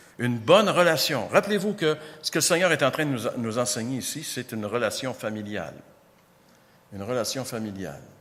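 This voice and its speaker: A man's fairly quick speech with very wide pitch swings, long, frequent pauses, and audible room echo. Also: medium pitch for a man. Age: 60s. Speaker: pastor. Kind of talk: sermon.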